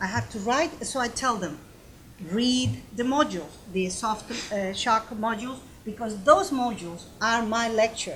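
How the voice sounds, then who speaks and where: With a non-native accent, a woman talks at a fairly slow pace in a fairly high voice with a bright, sharp tone. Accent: foreign. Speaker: university professor. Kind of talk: panel discussion. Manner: halting.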